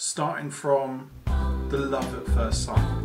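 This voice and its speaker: A man talks at a very slow pace. Background music accompanies him. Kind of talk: mock-documentary interviewer questions.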